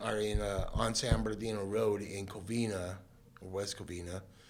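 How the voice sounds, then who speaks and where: There is audible room echo as a man with fairly low pitch speaks at a moderate pace. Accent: American. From Southern California. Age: 50s. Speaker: guest sharing life story. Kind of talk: testimony. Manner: casual, many fillers.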